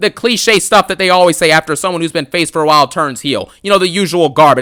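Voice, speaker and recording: A man talks at a very fast pace in a high pitch with a bright, sharp tone. The sound is dry and close with no echo, and his pitch varies in an ordinary way. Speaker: wrestling commentary youtuber. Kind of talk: angry rant. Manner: loud; animated.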